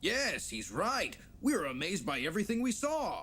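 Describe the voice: Fairly high in pitch, a cartoonish character voice moves at a moderate pace.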